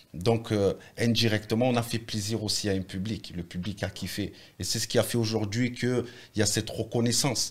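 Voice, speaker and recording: A man's ordinary speaking voice at medium pitch and moderate pace, with fairly even intonation, in a very clean recording over a silent background. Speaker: rapper. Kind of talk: casual interview.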